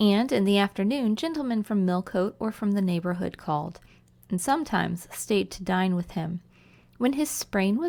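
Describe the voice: Just plain reading aloud.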